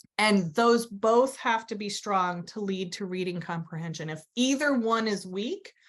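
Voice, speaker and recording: In a normal speaking voice, a woman of medium pitch talks at a fairly slow pace with hardly any pauses, ordinary pitch variation and big swings in loudness. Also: quiet background. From US Southwest, New Mexico. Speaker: educational therapist and instructor. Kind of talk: webinar lecture. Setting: online webinar.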